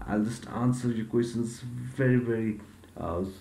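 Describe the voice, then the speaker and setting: A man speaks in a dark, mellow tone with fairly even intonation. Audible room echo surrounds his voice. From Nepal. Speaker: YouTuber. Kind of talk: software tutorial. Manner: hesitant, many fillers.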